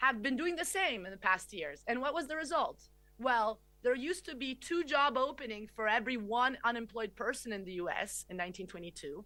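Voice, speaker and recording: A woman with an Italian accent speaks at a fairly quick pace with a high pitch. Her tone is bright and sharp. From Italy. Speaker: economist. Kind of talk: lecture.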